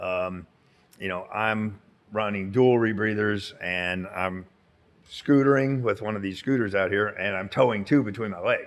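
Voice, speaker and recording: A man's fairly low pitch at a fairly slow pace, with fairly even intonation. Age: 60s. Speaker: cave diver and instructor. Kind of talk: casual interview chat. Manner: hesitant with many fillers.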